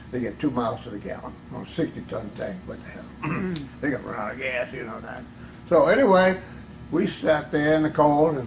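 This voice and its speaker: This man's voice is fairly high. Background noise is noticeable. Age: 80s+. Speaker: hat shop owner, war veteran. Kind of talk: interview answer.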